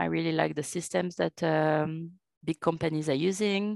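Ordinary pitch variation with a strong French accent, in a dry, close sound with no echo and a quiet background. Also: woman. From France. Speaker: revenue manager. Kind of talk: interview.

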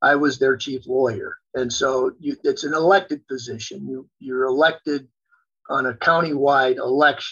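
With an unremarkable speaking voice, a man talks at a moderate pace, his fairly high pitch held in fairly even intonation. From US Midwest (South Dakota, Wisconsin). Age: 60s. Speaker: lawyer and lobbyist, former state attorney general. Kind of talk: interview.

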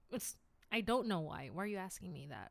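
A woman with an American accent, bright and sharp in tone and animated, on a very clean recording with a silent background. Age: 20s. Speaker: podcast host. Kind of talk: casual solo monologue, podcast intro. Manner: animated, laughs often, stumbles on words; self-deprecating, humorous.

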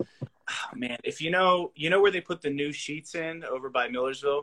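A man's normal speaking voice with an American accent, a fairly high pitch, ordinary pitch variation and a moderate pace. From Pennsylvania, Lebanon area. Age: 20s. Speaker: podcast host. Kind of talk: casual chat. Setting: livestream.

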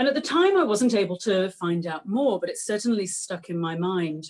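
In an English accent, a woman with a fairly high pitch talks at a moderate pace with very wide pitch swings. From England. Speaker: author and historian. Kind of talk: lecture. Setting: video call.

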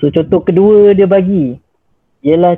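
Here a man speaks in a normal speaking voice. He goes at a fairly slow pace with ordinary pitch variation. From Malaysia, Johor Bahru. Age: 20s. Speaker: doctor. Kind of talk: casual interview.

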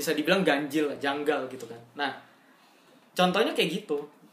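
Set in audible room echo, a woman talks at a very deep, low pitch with ordinary pitch variation. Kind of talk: casual chat.

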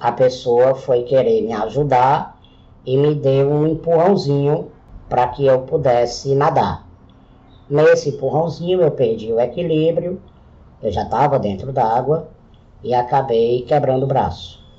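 Somewhat breathy, a man talks at a fairly slow pace in a fairly high pitch with ordinary pitch variation. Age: 40s. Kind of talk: solo podcast monologue.

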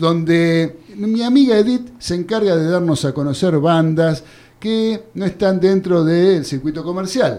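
The speaker has a Rioplatense accent. The pace is fairly slow. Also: man, high pitch for a man, ordinary pitch variation. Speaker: radio sports show host. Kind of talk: radio sports talk show. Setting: radio studio.

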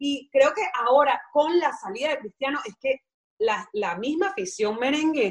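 A woman with a Venezuelan accent speaks in a high pitch with very wide pitch swings. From Venezuela, Caracas. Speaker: football podcast co-host. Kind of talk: casual chat.

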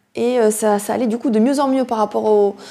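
Her intonation fairly even, a woman speaks at a fairly high pitch with a dark, mellow tone. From southwest France, near Toulouse. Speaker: yoga teacher and fitness coach. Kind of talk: personal testimony monologue. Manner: halting, searching for words.

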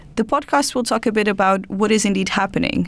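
A woman with a Portuguese accent speaks with ordinary pitch variation in a very clean recording with a silent background. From Portugal. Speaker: podcast host. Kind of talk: scripted narration; casual chat.

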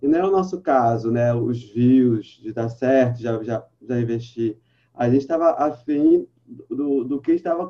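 An ordinary speaking voice from a man, fairly slow in pace, medium in pitch, with ordinary pitch variation. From Brazil, Baixada Fluminense (Rio de Janeiro). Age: 30s. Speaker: journalist and audiovisual producer. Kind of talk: casual interview.

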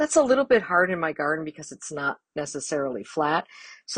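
Talking at a fairly quick pace in a plain, everyday voice, a woman is heard with a dry, close sound with no echo against a quiet background. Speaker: gardener. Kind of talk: recorded tip, casual monologue.

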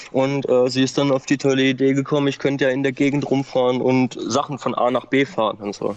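A man delivers his words in a monotone, flat intonation at a fairly quick pace and medium pitch, with hardly any pauses, over noticeable background noise. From Baden-Württemberg, Germany. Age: 30s. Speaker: former meth user. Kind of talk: testimony. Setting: outdoors.

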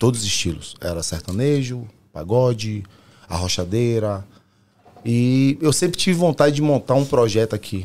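A man with lively intonation keeps a moderate pace in a plain, everyday voice. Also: medium pitch for a man. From Brazil, Salvador, Bahia. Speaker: pagode singer and musician. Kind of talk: casual chat.

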